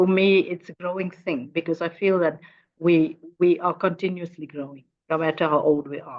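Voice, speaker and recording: Her accent is Afrikaans South African, and this woman's pitch is fairly low. She talks at a moderate pace with fairly even intonation and big swings in loudness. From South Africa, Northern Cape. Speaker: educator and fashion designer. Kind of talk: interview conversation. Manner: halting, many repetitions.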